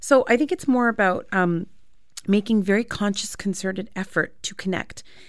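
With a Canadian accent, a woman speaks in an ordinary speaking voice. Her pitch is medium and varies in an ordinary way. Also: moderate pace. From Canada. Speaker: therapist. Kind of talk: radio interview. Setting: radio studio.

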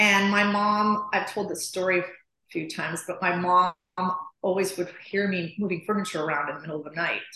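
This speaker has a normal speaking voice and an American accent. The intonation is fairly even, and the pace is fairly quick. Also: woman, medium pitch for a woman. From US Midwest, Chicago. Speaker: interior designer. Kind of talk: interview.

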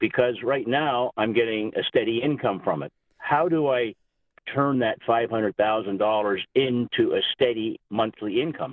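A man speaks fairly slowly in an unremarkable speaking voice. His pitch is medium, with ordinary pitch variation. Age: 50s. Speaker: radio call-in listener. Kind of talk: phone-in question.

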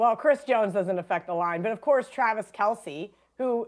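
A woman with an unremarkable speaking voice talks at a moderate pace in a fairly high pitch, using ordinary pitch variation, on a very clean recording with a silent background. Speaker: sports betting analyst. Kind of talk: casual sports talk interview.

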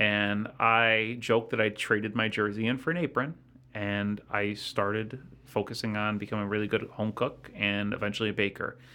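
A man speaks at a moderate pace in a fairly low pitch, his intonation fairly even. The tone is bright and sharp, and the recording is very clean with a silent background. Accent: American. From US Midwest, south side of Chicago. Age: 30s. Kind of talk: casual chat. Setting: studio.

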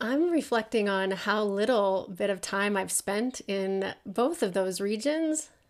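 A woman with an American accent speaks in an unremarkable speaking voice at a medium pitch, fairly slow yet with hardly any pauses. Her intonation is lively and her loudness very even. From US Midwest. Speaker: podcast staff member. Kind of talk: casual debate.

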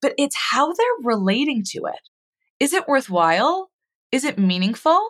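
Her voice high and swinging very widely in pitch, a woman talks at a moderate pace in a dry, close sound with no echo. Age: 30s. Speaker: mental health educator and psychotherapist. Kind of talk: casual chat.

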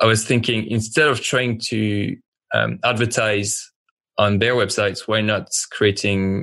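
A man with a French accent, fairly low pitch and fairly even intonation. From France. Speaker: fashion brand founder. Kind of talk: interview, casual chat. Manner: halting, filler words.

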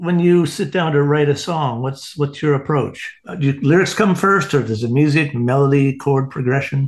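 A man with a Canadian accent, an ordinary speaking voice, ordinary pitch variation, a moderate pace and hardly any pauses. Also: fairly high pitch for a man. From Canada. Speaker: podcast co-host, graphic artist. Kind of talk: casual interview chat.

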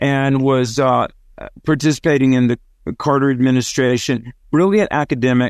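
Speaking with a Southern US accent, a man uses a fairly high pitch and ordinary pitch variation at a moderate pace against a quiet background. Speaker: author and radio host. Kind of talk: interview discussion.

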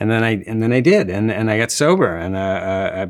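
A man's fairly low voice at moderate pace, ordinary pitch variation, a plain, everyday voice. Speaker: TV writer. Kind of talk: casual interview chat.

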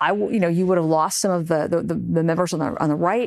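This woman has a fairly low pitch, ordinary pitch variation and an unremarkable speaking voice. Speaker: congresswoman. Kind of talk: political interview.

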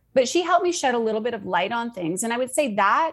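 This is an ordinary speaking voice from a woman, pitched fairly high with lively intonation. The recording is very clean, with a silent background. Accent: Canadian. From Canada. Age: 40s. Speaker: life coach. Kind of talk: casual interview chat.

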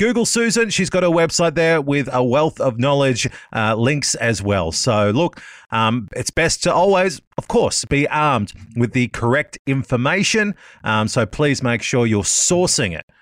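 An Australian accent at a fairly slow pace with very wide pitch swings, in a very clean recording with a silent background. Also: man, fairly high pitch for a man, dry, close sound with no echo. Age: 30s. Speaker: radio host. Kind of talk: interview.

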